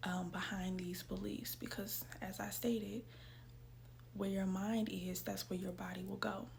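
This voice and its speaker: A woman speaks at a fairly slow pace, and audible room echo surrounds her voice. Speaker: self-help video creator. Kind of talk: casual motivational talk. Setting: at home, in her room. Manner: soft-spoken.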